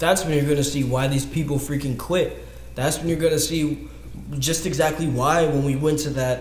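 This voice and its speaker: Fairly quick talk from a man in an American accent, noticeable background noise and audible room echo around him. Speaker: dance podcast host. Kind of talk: casual monologue. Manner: fast; animated.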